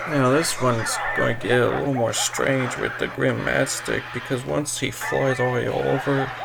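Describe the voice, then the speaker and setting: Over music in the background, a man speaks at a moderate pace with hardly any pauses. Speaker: gaming commentator. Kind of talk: casual gameplay commentary. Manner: quiet.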